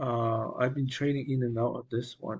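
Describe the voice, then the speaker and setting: Somewhat breathy, a man talks at a moderate pace and medium pitch. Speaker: stock market commentator. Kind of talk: market recap tutorial. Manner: hesitant, many fillers.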